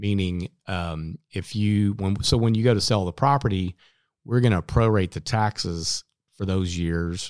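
A man's plain, everyday voice with an American accent, fairly low pitch, ordinary pitch variation, fairly slow pace, dry, close sound with no echo, very clean recording with a silent background. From Oklahoma. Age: 50s. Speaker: title company attorney. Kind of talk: casual interview. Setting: home studio.

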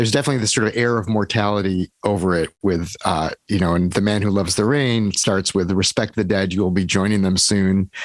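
A man with an unremarkable speaking voice talks fairly quickly at a fairly low pitch with very even loudness, the sound dry and close with no echo over a quiet background. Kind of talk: interview.

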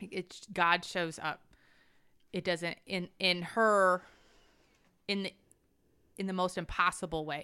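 Pausing long and often, a woman speaks at a fairly slow pace in a bright, sharp tone with monotone, flat intonation and big swings in loudness. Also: medium pitch for a woman, very clean recording, silent background. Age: 40s. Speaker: podcast co-host leading Bible discussion. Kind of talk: casual Bible study chat.

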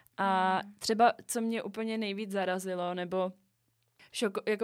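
A woman at medium pitch, fairly slow and in a monotone, flat intonation, on a very clean recording with a silent background. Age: 20s. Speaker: podcast co-host. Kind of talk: casual chat.

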